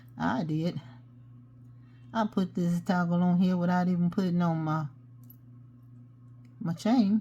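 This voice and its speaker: A woman with a fairly low, somewhat breathy voice and a dark, mellow tone speaks at a fairly slow pace with ordinary pitch variation, leaving long, frequent pauses. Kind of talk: tutorial. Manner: mumbles sometimes; casual, chatty.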